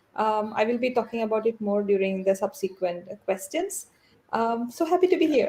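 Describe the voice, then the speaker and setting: A woman with a Keralan accent, fairly high pitch and very wide pitch swings. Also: moderate pace. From South India. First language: Malayalam. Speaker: scholar and wikipedian. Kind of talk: live panel interview.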